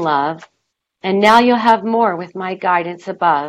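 At a moderate pace, a woman with a plain, everyday voice speaks at a medium pitch with ordinary pitch variation. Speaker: author and inspirational speaker. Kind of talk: interview.

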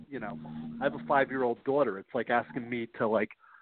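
A man talks at a moderate pace and medium pitch. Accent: New York. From New York. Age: 50s. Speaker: author. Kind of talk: interview. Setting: phone call.

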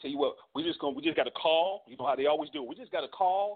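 The pace is very fast. Pitch moves up and down in an ordinary way. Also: man. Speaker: co-host reading comments. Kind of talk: casual chat.

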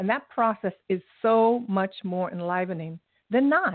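Her pitch sits at a medium level for a woman, with ordinary pitch variation.

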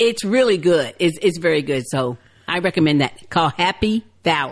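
At a moderate pace, a woman with an ordinary speaking voice talks in a fairly low pitch with lively intonation. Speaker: TV show recap podcast co-host. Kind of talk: casual chat.

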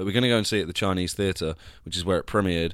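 On a very clean recording with a silent background, a man with a slight Devon accent speaks in a fairly low pitch with fairly even intonation. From Devon, England. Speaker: actor and podcast host. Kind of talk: casual solo vlog-style monologue.

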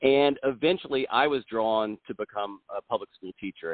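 A man with ordinary pitch variation and an unremarkable speaking voice. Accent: American. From South Carolina. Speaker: school board candidate, former lawyer and teacher. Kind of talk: interview.

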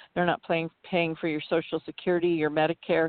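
A woman talks in an unremarkable speaking voice. Her pitch sits fairly low and her intonation stays fairly even. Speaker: truck driver advocate. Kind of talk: panel discussion.

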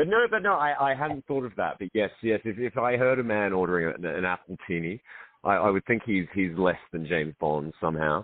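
A man's fairly low voice with an Australian accent, fairly quick pace and lively intonation. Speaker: film director and co-writer. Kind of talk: casual radio interview. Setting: radio show.

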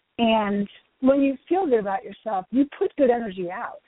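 At a moderate pace, a woman speaks in a plain, everyday voice. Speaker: fitness team captain. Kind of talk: casual chat.

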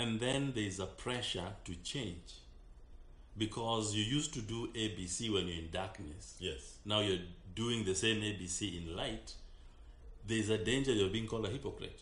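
The speech moves at a moderate pace with ordinary pitch variation. Audible room echo is present. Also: man, fairly low pitch for a man. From Kenya. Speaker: pastor. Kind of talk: radio talk show with preaching. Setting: studio.

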